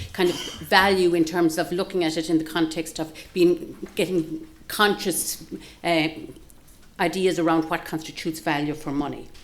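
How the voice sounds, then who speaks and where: Monotone, flat delivery in a Galway accent. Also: woman. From Ireland, Galway. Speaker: professor and nursing researcher. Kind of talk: seminar talk. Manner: fast; halting, many fillers and restarts.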